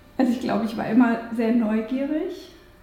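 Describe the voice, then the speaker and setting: Fairly high female voice, moderately paced, amid noticeable background noise and audible room echo. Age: 40s. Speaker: lawyer. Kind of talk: interview.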